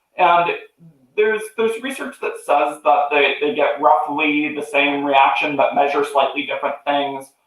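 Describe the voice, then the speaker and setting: A man speaks with a normal speaking voice at a fairly high pitch. His pitch varies in an ordinary way. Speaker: psychology researcher. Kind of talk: webinar interview.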